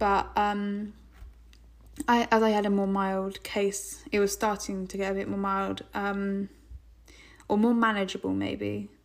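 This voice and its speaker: A woman with an English accent speaks at a fairly slow pace in a flat monotone at medium pitch, leaving long, frequent pauses. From England. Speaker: podcast host. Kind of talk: casual monologue.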